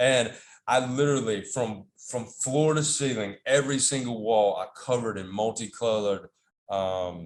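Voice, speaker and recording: Medium pitch and ordinary pitch variation from a man, at a moderate pace. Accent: Southern US. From US South, North Carolina. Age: 40s. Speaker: podcast guest. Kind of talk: casual interview chat. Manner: halting, many fillers and repeats.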